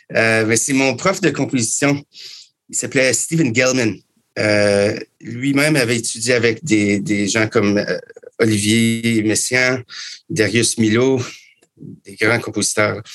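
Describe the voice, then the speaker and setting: At a very slow pace, a man speaks with a medium pitch and ordinary pitch variation. Long pauses come often. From Canada. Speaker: musician and composer. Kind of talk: interview.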